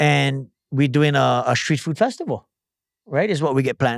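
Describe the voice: This man speaks at a moderate pace and a medium pitch, with lively intonation and vocal fry. The recording is very clean, with a silent background.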